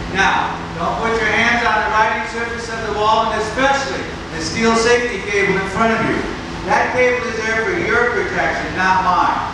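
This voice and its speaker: In a room with strong echo and noticeable background noise, a man projects his voice loudly at a moderate pace with ordinary pitch variation. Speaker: show announcer. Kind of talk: public safety announcement. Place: stage.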